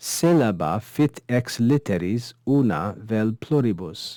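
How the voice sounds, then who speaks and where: Medium pitch, a dark, mellow tone and lively intonation from a man. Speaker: Latin teacher. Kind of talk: online course lecture. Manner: mumbling.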